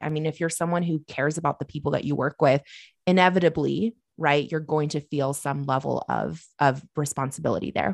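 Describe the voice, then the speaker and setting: Vocal fry colors a fairly quick, fairly even delivery, dry and close with no echo and a quiet background. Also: woman, very deep, low pitch for a woman. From US Pacific Northwest (Oregon). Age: 20s. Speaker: business coach and entrepreneur. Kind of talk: interview conversation.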